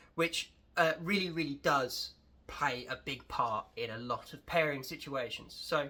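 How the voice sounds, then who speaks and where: A man talks with a southern English accent. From England. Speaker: wine educator. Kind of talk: casual tutorial vlog.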